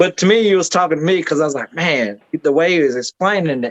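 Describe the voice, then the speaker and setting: In a Southern US accent, a man talks at a very fast pace with ordinary pitch variation, in a dry, close sound with no echo. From Georgia. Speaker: podcast host and independent wrestler. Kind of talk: casual chat. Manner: animated.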